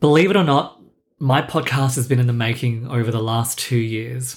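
A man with a medium pitch and a somewhat breathy voice speaks at a moderate pace with ordinary pitch variation. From Singapore, raised in Australia. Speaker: podcast host. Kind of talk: scripted solo podcast intro, personal monologue. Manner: self-deprecating, wry, conversational.

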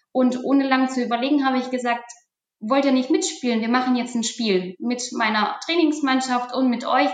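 In a room with audible echo, a woman talks at a moderate pace with a high pitch and ordinary pitch variation. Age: 40s. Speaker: IT manager. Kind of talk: interview.

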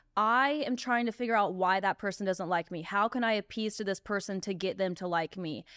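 A woman with a normal speaking voice talks in an American accent at a moderate pace. Her medium pitch has ordinary pitch variation against a quiet background. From US South. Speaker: podcast host. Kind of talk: casual chat.

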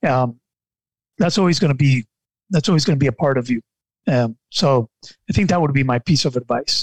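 A somewhat breathy man talks at a fairly quick pace with a fairly high pitch and ordinary pitch variation. His loudness stays very even, broken by long, frequent pauses. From Nicaragua. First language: Spanish. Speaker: life and mindset coach. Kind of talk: podcast interview. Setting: studio.

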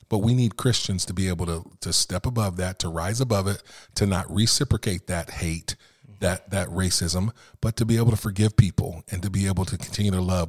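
A man talks fairly quickly at a fairly low pitch, somewhat breathy, with ordinary pitch variation. The sound is dry and close with no echo, on a very clean recording with a silent background. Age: 50s. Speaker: minister and chaplain. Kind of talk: casual chat.

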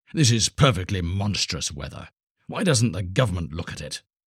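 A man's put-on character voice, low-pitched and growling with a husky, rough edge, big pitch swings, a moderate pace, and a very clean recording with a silent background

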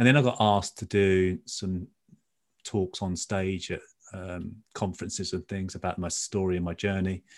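A man with a British accent and a very deep, low pitch speaks at a moderate pace with fairly even intonation against a quiet background. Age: 50s. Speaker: former footballer turned trader and coach. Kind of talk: interview.

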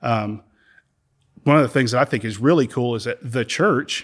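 Over a silent background in a very clean recording, a man talks at a medium pitch. His pace is moderate, with ordinary pitch variation. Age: 50s. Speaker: church member speaking on faith and healing. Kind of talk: faith conversation, interview.

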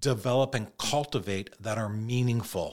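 A man with an ordinary speaking voice talks at a moderate pace in a medium pitch. He speaks with a Canadian accent in a very clean recording with a silent background. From Toronto, Canada. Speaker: mortgage broker. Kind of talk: podcast interview.

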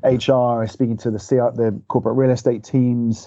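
With a Liverpool accent, a man speaks at a medium pitch. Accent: Scouse. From Liverpool, England. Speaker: head of marketing. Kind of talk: podcast interview.

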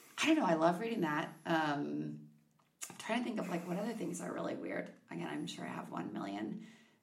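A woman with an American accent talks at a fairly quick pace, with audible room echo. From Minnesota (Victoria, near Chaska). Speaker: podcast guest. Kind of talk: casual interview.

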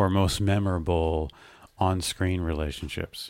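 In a very deep, low pitch, a man speaks at a very slow pace with monotone, flat intonation. The recording is very clean with a silent background. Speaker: podcast co-host. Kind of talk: casual chat.

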